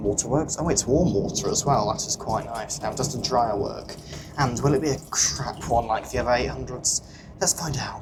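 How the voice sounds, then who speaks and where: The pace is moderate as a man speaks. There is noticeable background noise in the recording. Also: medium pitch for a man, ordinary pitch variation. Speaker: train travel vlogger. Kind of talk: travel vlog commentary. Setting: on a moving train. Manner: casual, with frequent fillers; quiet, subdued talk.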